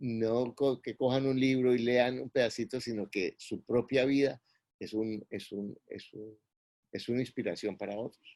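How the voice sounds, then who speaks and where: Dry, close sound without echo, carrying a dark, mellow tone. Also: man, medium pitch for a man, fairly slow pace. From Colombia. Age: 60s. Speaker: real estate investor and mentor. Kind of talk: interview.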